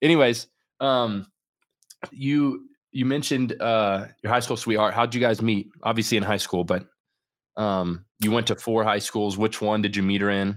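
Recorded very cleanly with a silent background, a man with a normal speaking voice talks at a moderate pace in a fairly low pitch with ordinary pitch variation. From Central Florida. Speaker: podcast host. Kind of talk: casual interview chat.

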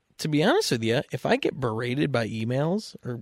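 Lively intonation in a Western New York accent, with a dry, close sound and no echo. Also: man. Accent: Western New York (Inland North) American. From US Northeast (Western New York). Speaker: podcast guest, friend of host. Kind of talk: casual chat.

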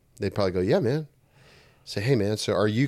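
A man with an American accent speaks at a fairly low pitch with ordinary pitch variation on a very clean recording with a silent background. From US South, Texas. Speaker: church planter and minister. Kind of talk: casual chat.

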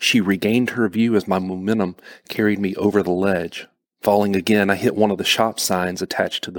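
Someone reads aloud in a natural voice, intonation fairly even, and the background is quiet.

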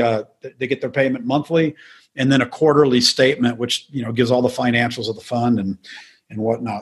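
A man speaks at a medium pitch in a somewhat breathy voice with fairly even intonation. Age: 60s. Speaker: mortgage note investor. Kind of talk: interview. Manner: repetitive, halting starts.

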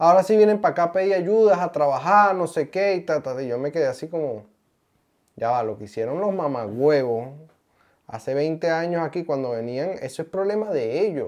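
The speaker has a Venezuelan accent. The pace is moderate. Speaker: podcast co-host. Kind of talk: casual chat.

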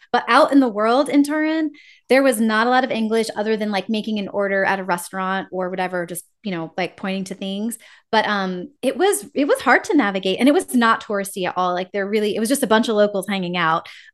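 Against a quiet background, a woman with an American accent talks very fast in a fairly high pitch with ordinary pitch variation. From US, rural West Virginia. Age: 40s. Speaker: travel and sabbatical coach. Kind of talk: casual interview. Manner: animated.

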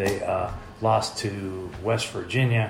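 Noticeable background noise and audible room echo surround a man with an American accent who speaks at a fairly slow pace with fairly even intonation. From Oregon, US (Medford). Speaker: sports podcast co-host. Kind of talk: casual sports chat.

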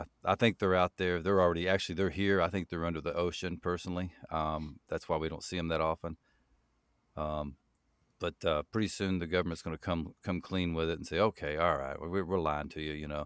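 A man with a very deep, low pitch talks at a fairly quick pace, the sound dry and close with no echo on a very clean recording with a silent background. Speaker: horror story narrator. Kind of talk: casual interview.

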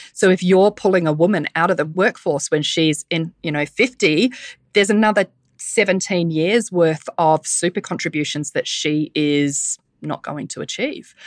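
With a New Zealand accent, a woman speaks at a moderate pace and fairly low pitch with ordinary pitch variation, in a dry, close sound with no echo against a quiet background. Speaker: menopause speaker, podcaster and personal trainer. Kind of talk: casual interview chat.

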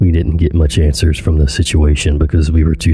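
Music plays in the background behind a voice with fairly even intonation. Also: man. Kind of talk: true-crime horror narration. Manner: suspenseful, tense storytelling.

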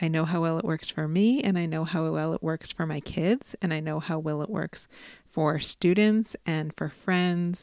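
In an American accent, a woman talks at a moderate pace and a fairly low pitch with ordinary pitch variation. The sound is dry and close with no echo, on a very clean recording with a silent background. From US Midwest, Chicago. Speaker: educator and life coach. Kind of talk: interview conversation. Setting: in person, face-to-face.

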